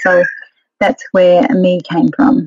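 With an Australian accent, a woman speaks with ordinary pitch variation in a dry, close sound with no echo. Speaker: etiquette and modelling trainer. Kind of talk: interview.

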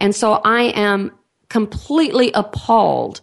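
Against a quiet background, a woman talks with a Texan accent. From Texas. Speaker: radio host, biological dentistry executive director. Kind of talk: radio interview.

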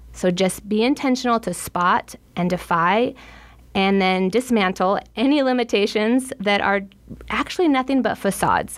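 A woman speaks in a normal speaking voice with a fairly high pitch. Her loudness stays very even and her pace is moderate. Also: ordinary pitch variation. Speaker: podcast host and nutritionist. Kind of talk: interview, host-led conversation.

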